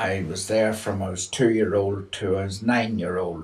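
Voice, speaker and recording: A man speaks fairly slowly in a fairly low, somewhat breathy voice with monotone, flat intonation. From Northern Ireland, County Armagh; later northern England. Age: 80s+. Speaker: elderly storyteller. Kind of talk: personal testimony. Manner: halting, with many fillers.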